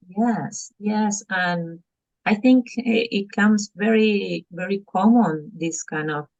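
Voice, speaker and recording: Somewhat breathy, a woman with a Spanish accent speaks at a very slow pace and a medium pitch. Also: ordinary pitch variation. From Argentina. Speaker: parent coach. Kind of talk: podcast interview. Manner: halting, with fillers.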